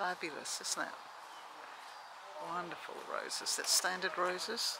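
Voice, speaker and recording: A woman speaks at a fairly slow pace. The sound is dry with no echo, and there is noticeable background noise. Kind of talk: casual vlog chat. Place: garden. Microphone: phone near.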